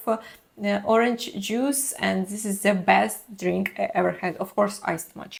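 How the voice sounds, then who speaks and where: A woman at a fairly slow pace. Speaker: travel vlogger. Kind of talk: casual vlog monologue.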